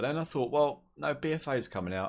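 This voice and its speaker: With a southern English accent, a man speaks in a relaxed tone with lively intonation on a very clean recording with a silent background. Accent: southern English drawl. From southern England. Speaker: gaming YouTuber. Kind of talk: casual gaming commentary. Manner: relaxed, rambling.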